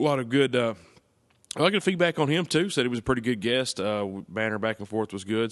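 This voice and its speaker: A man with a Tennessee accent at a very fast pace against a quiet background. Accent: Southern US (Tennessee). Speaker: podcast host. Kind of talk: casual chat.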